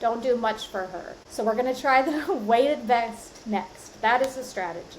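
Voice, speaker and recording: A woman with an unremarkable speaking voice, her pitch fairly high and ordinary in variation, her pace moderate. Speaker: podcast host. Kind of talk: solo podcast monologue. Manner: casual, conversational.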